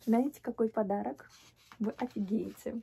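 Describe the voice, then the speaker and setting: Amid light background noise, a woman talks at a very slow pace, somewhat breathy, with a dark, mellow tone and fairly even intonation. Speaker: vlogger. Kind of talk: casual vlog chat. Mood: happy, grateful. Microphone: phone near.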